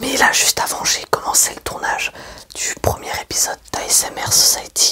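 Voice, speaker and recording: A moderate-paced whisper comes through with noticeable noise in the background. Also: man. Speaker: ASMR creator and web-series maker. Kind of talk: casual talk to camera in whisper/soft-spoken ASMR style. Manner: whispered, soft-spoken.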